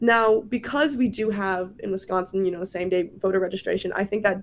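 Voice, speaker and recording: Using a normal speaking voice, a woman talks at a moderate pace with an American accent. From US Midwest (Minnesota). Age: young. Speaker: college student and voting-campaign intern. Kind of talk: radio interview. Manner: casual, many filler words.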